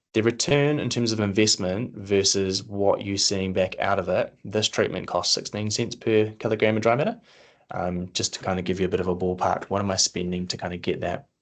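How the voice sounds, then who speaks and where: A man's fairly low voice with a New Zealand accent, at a fairly quick pace with fairly even intonation. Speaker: agronomy presenter. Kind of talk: webinar presentation. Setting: online webinar. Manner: fast.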